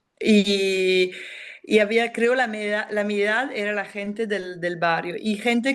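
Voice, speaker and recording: With a non-native accent, a woman speaks very slowly at medium pitch. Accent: non-native Spanish speaker. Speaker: film director. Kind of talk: interview. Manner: halting, many fillers and restarts.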